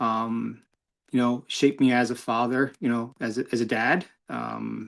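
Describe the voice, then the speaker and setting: A man's medium-pitched voice in a very clean recording, silent background. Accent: New York. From New York. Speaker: motorcyclist and community volunteer. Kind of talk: interview. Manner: halting, many fillers.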